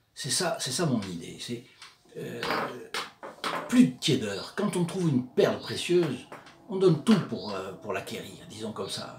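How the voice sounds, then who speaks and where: Over noticeable background noise, a man speaks at a fairly slow pace with a fairly high pitch and very wide pitch swings. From southern France, Provence. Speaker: religious video presenter. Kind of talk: religious commentary talk. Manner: hesitant, many filler sounds.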